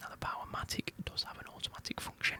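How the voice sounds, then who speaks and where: Over noticeable background noise, a man whispers fairly quickly in a British accent. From United Kingdom. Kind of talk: ASMR whispered ramble. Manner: whispered.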